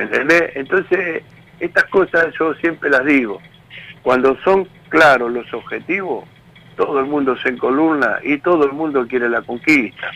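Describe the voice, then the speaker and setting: Speaking fairly slowly, a man with a fairly high voice has a Rioplatense accent. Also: ordinary pitch variation. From Argentina, Tigre (Buenos Aires province). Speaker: trade union leader. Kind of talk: interview.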